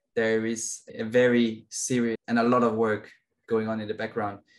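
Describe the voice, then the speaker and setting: Here a man speaks at a medium pitch. He has a Danish accent. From Denmark. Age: 20s. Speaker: racing driver. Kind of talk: interview.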